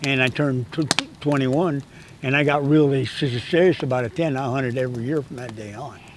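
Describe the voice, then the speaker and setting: There is noticeable background noise as a man with a fairly high voice speaks with fairly even intonation. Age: 80s+. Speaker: hunting guide and instructor. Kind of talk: casual chat. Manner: halting, with repetitions and stutters.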